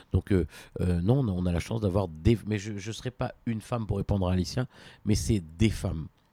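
A man's dark, mellow tone carries ordinary pitch variation. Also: moderate pace. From France, Besançon. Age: 50s. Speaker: consumer advocate and political aide. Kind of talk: interview. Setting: at his home. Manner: hesitant, with fillers.

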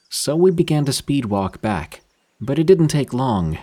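A man with a dark, mellow tone talks at a moderate pace, his pitch swinging very widely. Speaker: horror story narrator. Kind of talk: ghost story telling, scripted narration. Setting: studio.

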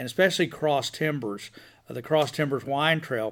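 In a very clean recording with a silent background, a man with an American accent speaks at a fairly high pitch with ordinary pitch variation. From Texas (from age five), early years in Boston. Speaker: winery owner. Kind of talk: interview. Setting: on location at the vineyard. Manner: repetitive, halting restarts.

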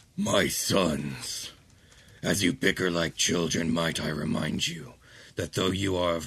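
A gravelly, rumbling put-on character voice at a fairly slow pace. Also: man, very deep, low pitch for a man. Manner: stern, ominous.

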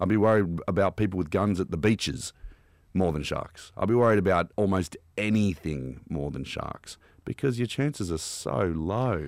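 A man with an Australian accent speaks with a very deep, low pitch, vocal fry and lively intonation. His moderate pace is heard in a very clean recording with a silent background. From Australia, Canberra. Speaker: shark attack survivor. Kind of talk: casual chat. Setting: studio.

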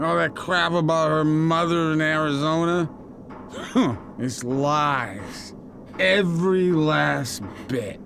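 A man's put-on character voice, slow and fairly high-pitched, with ordinary pitch variation, a fairly bright tone and vocal fry

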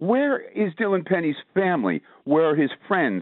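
This man's voice sits at a fairly high pitch. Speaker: caller. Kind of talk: call-in talk radio. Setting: phone call.

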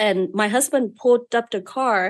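There is a quiet background as a woman speaks with a Vietnamese accent. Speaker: beauty business owner. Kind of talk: interview storytelling. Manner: outspoken.

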